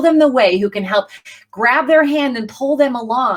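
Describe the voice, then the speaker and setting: Speaking at a moderate pace, a woman sounds animated, with a high pitch and lively intonation. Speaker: professional singer and networking coach. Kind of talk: facebook live talk.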